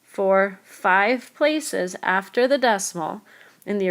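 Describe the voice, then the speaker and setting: A woman at a medium pitch with ordinary pitch variation, an unremarkable speaking voice. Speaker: math teacher. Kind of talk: tutorial.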